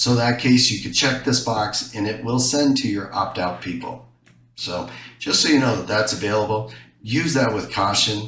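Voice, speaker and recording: At a moderate pace, a man speaks at medium pitch with ordinary pitch variation, amid noticeable background noise and audible room echo. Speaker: software tutorial presenter. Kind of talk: tutorial.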